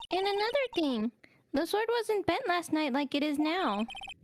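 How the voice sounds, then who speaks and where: A put-on character voice, squeaky and extremely high in pitch, with very wide pitch swings at a moderate pace. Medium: game stream. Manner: dry, reasoning.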